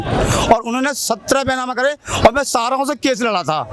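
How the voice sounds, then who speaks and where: Against noticeable background noise, a man speaks with an extremely high pitch and fairly even intonation. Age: 50s. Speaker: farmer. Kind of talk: interview answer. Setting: outdoors.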